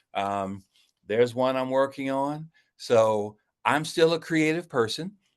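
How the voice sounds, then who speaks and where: With an American accent and an unremarkable speaking voice, a man talks at a fairly slow pace at medium pitch with ordinary pitch variation over a quiet background. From Ohio, US Midwest. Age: 60s. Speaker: card game designer. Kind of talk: interview.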